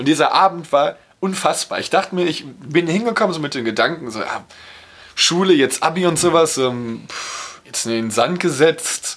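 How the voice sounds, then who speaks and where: A man speaks at a moderate pace in a plain, everyday voice. His pitch sits fairly high, with lively intonation. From Ruhr area, near Dortmund. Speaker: podcast co-host. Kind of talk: casual chat.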